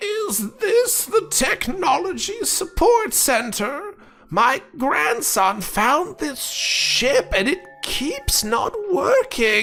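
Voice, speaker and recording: A man's croaky, put-on character voice at an extremely high pitch, delivered at a very slow pace over faint background music. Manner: babbling, confused.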